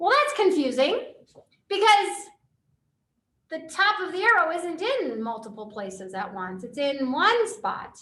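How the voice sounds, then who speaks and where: In a raised, projected voice, a woman speaks at an extremely high, shrill pitch with a bright, sharp tone, very wide pitch swings, and long, frequent pauses, and audible room echo comes through. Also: fairly slow pace, big swings in loudness. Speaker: physics teacher. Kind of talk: lecture.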